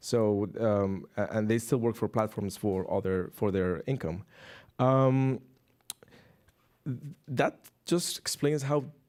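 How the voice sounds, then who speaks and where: With a non-native accent, a man talks very slowly at medium pitch, with ordinary pitch variation and long, frequent pauses, on a very clean recording with a silent background. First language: not English. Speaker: researcher. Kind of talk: panel discussion. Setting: stage with audience. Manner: halting.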